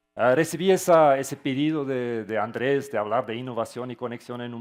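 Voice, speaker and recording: A man with a Portuguese accent speaks at a medium pitch and a moderate pace, with ordinary pitch variation and a quiet background. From Switzerland. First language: not Spanish; Portuguese-influenced (speaking Spanish). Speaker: tech company founder. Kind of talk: conference talk. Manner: halting with fillers.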